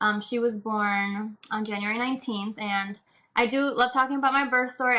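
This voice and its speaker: A woman with a Spanish accent at a fairly quick pace, fairly high pitch and fairly even intonation, in a bright, sharp tone. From Puerto Rico. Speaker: doula. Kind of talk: casual interview chat.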